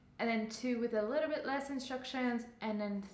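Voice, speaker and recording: Audible room echo surrounds a woman's voice. Her intonation stays fairly even. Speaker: yoga teacher. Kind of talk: tutorial. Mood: calm, guiding tone. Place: home room. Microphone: lapel.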